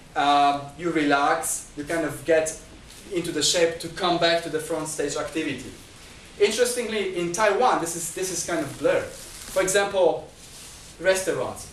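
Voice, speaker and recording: Amid noticeable background noise and audible room echo, a man speaks at a high pitch and a moderate pace with ordinary pitch variation. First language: not Chinese. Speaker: lecturer. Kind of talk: lecture. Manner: halting.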